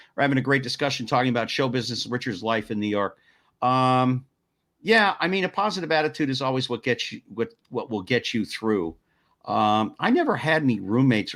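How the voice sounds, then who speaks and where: A man's ordinary speaking voice with lively intonation at a fairly quick pace, on a very clean recording with a silent background. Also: medium pitch for a man. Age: 60s. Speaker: talk show host. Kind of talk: interview chat. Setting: live stream talk show.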